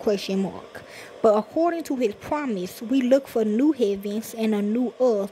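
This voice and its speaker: A woman speaks at a fairly slow pace in a fairly high pitch. Noticeable background noise is present. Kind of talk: sermon / scripture reading. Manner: casual, conversational, preacher-like.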